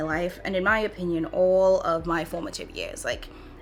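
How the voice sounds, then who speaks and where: A woman speaks in a Trinidadian accent at a moderate pace and a medium pitch. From Trinidad and Tobago. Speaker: beauty vlogger. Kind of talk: chatty makeup tutorial. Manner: casual.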